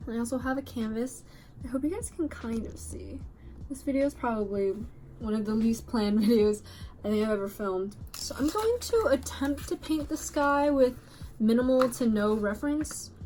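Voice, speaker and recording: A woman talks at a moderate pace, with noticeable background noise present. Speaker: YouTuber, art student. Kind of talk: casual vlog while painting. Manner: casual, lots of fillers.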